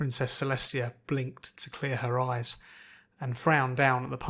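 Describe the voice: What is heard here is plain reading aloud.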